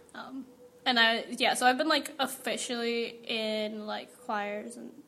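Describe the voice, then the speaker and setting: A woman with an American accent speaks at a fairly slow pace and fairly high pitch with ordinary pitch variation, amid audible room echo and noticeable background noise. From US West Coast, Central Valley California. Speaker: college student and church band singer. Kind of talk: interview testimony. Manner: casual with many fillers.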